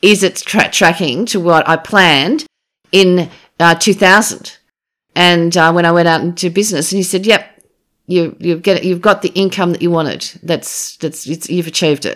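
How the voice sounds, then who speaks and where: In a very clean recording with a silent background, a woman with an Australian accent speaks at a moderate pace in a fairly low pitch with fairly even intonation. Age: 50s. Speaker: former politician. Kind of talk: interview.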